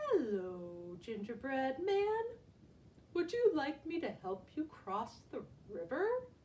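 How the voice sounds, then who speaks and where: Clear background noise sits behind a woman doing a put-on character voice, high in pitch with very wide pitch swings, at a fairly slow pace. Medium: read story. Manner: smooth, coaxing.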